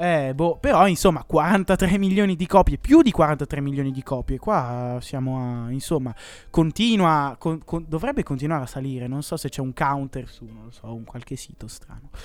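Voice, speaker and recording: A plain, everyday voice from a man with a fairly high pitch, ordinary pitch variation and big swings in loudness at a moderate pace, in a very clean recording with a silent background. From Como, northern Italy. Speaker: student radio co-host. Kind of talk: casual chat.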